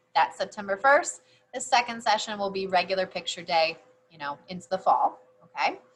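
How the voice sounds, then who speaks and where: Fairly quick and lively in intonation, a woman with an unremarkable speaking voice at medium pitch shows big swings in loudness. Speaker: high school yearbook advisor. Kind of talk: informational announcement to students. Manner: casual, with fillers.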